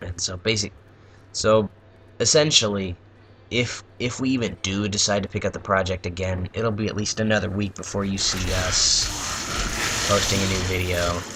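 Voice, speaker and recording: A man with a fairly low pitch speaks at a moderate pace and with fairly even intonation over noticeable background noise. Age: young. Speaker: gaming YouTuber. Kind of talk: casual gameplay commentary. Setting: at home at night. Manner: quiet; halting.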